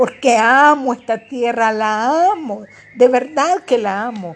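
This woman talks very slowly, with a high pitch. Her pitch varies in an ordinary way. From Nicaragua. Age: 50s. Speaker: political candidate. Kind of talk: political monologue.

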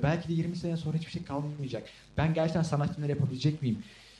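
This man has a dark, mellow tone, a fairly high pitch and a somewhat breathy sound. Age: young. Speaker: podcast co-host, film student. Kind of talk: casual chat.

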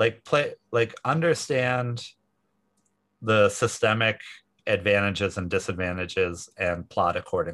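An ordinary speaking voice, fairly slow in pace, with lively intonation. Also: man, medium pitch for a man. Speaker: tech company founder and CEO. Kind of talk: interview.

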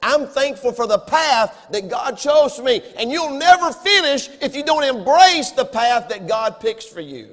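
A man with a Southern US accent at a fairly slow pace and an extremely high pitch, with lively intonation, big swings in loudness, and noticeable background noise. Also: hardly any pauses. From US South. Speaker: pastor. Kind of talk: sermon. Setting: church.

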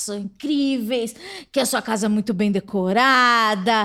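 In a very clean recording with a silent background, a woman talks at a fairly slow pace. She has a normal speaking voice, fairly high pitched, with ordinary pitch variation. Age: 30s. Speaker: podcast host. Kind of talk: casual interview. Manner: laughs often.

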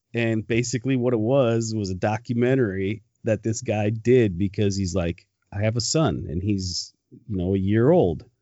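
In an American accent, a man speaks at a fairly low pitch in a normal speaking voice. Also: ordinary pitch variation, moderate pace. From Michigan. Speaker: podcast host. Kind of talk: casual chat.

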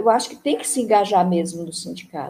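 A woman with a medium-pitched voice speaks in a dark, mellow tone that is somewhat breathy. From Brazil, Ceará. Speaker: retired union administrative secretary. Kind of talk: interview, personal memories. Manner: halting, many fillers.

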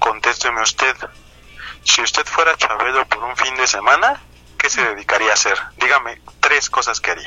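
With an ordinary speaking voice, a man talks at a moderate pace, keeping a medium pitch and ordinary pitch variation. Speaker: podcast co-host, comedian. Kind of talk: casual comedic chat.

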